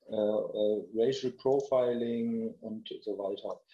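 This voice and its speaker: The man's voice sits at a medium pitch. It has a dark, mellow tone. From Lower Saxony, Germany (Melle). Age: 50s. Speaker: sports association integration officer. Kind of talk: interview.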